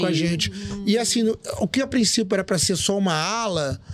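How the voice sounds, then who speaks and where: Music plays in the background. Over it, a man speaks at a high pitch with ordinary pitch variation. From Rio de Janeiro. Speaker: DJ, journalist and master of ceremonies. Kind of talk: podcast interview answer.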